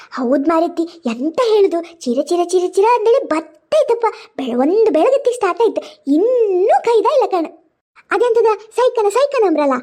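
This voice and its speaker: In a cartoonish character voice, a woman speaks at an extremely high pitch with very wide pitch swings and a fairly slow pace. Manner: rambling, complaining.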